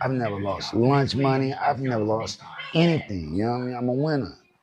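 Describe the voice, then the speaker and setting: Noticeable background noise sits under a man speaking at a medium pitch and a moderate pace. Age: 40s. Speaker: hip hop commentary youtuber. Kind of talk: casual commentary rant. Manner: animated; repetitive.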